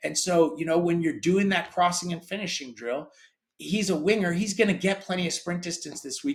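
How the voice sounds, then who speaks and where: Here a man with an American accent speaks at a high pitch. His pace is fairly quick, with ordinary pitch variation. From grew up in Europe, American. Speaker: sports tech company founder. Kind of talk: interview.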